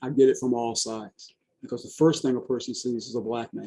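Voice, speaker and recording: The speaker is a man with a medium pitch and a dark, mellow tone. He talks at a moderate pace. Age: 60s. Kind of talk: testimony. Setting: video call.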